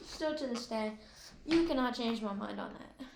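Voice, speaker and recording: Quiet and fairly high-pitched, a woman speaks fairly slowly with ordinary pitch variation, and room echo is audible. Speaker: gaming video creator. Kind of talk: casual tier-list commentary. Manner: quiet, slow.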